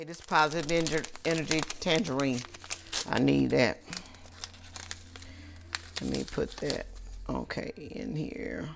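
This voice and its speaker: A woman talks at a fairly slow pace with long, frequent pauses against noticeable background noise. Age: 60s. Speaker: businesswoman. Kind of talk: interview answer.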